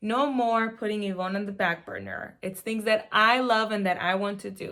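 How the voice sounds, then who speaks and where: With a Spanish accent, a woman speaks at a moderate pace and fairly high pitch, her tone bright and sharp, her intonation fairly even, on a very clean recording with a silent background. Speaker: mom vlogger. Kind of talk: casual vlog. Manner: casual, with fillers.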